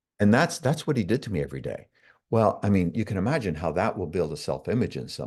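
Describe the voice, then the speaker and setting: Against a quiet background, a man with fairly low pitch and vocal fry races at a very fast pace through very wide pitch swings. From Canada. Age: 60s. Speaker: self-development coach. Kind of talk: interview.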